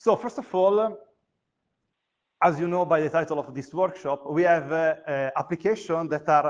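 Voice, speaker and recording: A man speaks in a high pitch. The background is quiet. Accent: Italian. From Italy. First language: Italian. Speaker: university lecturer. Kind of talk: conference talk. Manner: hesitant, many fillers.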